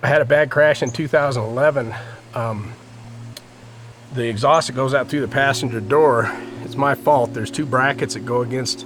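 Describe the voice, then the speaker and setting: Through noticeable background noise, a man with an American accent speaks at a fairly quick pace with fairly even intonation. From Colorado. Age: 60s. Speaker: real estate broker and former racing driver. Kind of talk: interview. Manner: casual, folksy.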